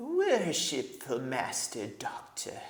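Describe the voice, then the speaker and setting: A whiny put-on character voice carries the delivery. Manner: whining, servile.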